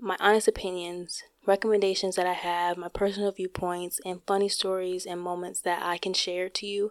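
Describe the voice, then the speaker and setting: In a dry, close sound with no echo, a soft-spoken woman talks at a moderate pace and medium pitch. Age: 20s. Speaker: podcast host; college student. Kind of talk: solo podcast introduction, casual direct address. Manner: shy, somewhat hesitant.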